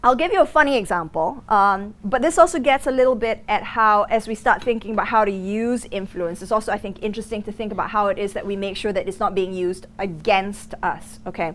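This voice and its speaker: Talking at a very fast pace with hardly any pauses, a woman with an American accent uses lively intonation and a fairly high pitch. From Singapore. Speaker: negotiation lecturer. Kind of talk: lecture. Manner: halting, many fillers.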